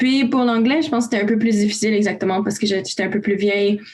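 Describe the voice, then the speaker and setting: A woman's fairly high, fairly even voice, with noticeable background noise and audible room echo. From Romania, raised in Canada from age 5. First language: Romanian (speaking French). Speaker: youth volunteer. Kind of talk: casual panel discussion.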